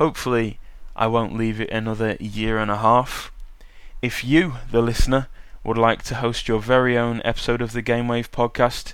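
With a British accent, a man speaks at a medium pitch and moderate pace in a flat monotone, on a very clean recording with a silent background. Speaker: podcast host and university student. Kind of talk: casual solo podcast monologue. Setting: home podcasting desk. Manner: casual, chatty, with filler words.

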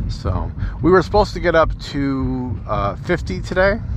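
A man talks fairly slowly while audible room echo and noticeable background noise surround his voice. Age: 60s. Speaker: podcaster. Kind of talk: casual monologue. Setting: in a car. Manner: halting. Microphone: phone with cabled microphone.

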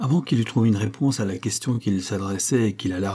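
Someone does plain reading aloud, with pitch moving in an ordinary way.

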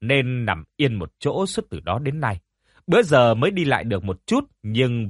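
The speaker reads aloud in a natural voice, with lively intonation and a quiet background.

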